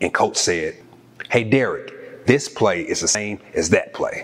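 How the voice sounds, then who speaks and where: A man talks with a Southern US accent. Noticeable background noise runs under his voice. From Arkansas. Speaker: former college athlete and author. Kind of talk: interview.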